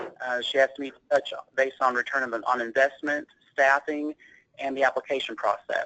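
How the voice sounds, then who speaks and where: In an East Tennessee accent, a man speaks fairly quickly in a monotone, flat delivery, his fairly high voice bright and sharp in a dry, close sound with no echo. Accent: Southern US (East Tennessee). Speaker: healthcare operations director and accountant. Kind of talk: presentation.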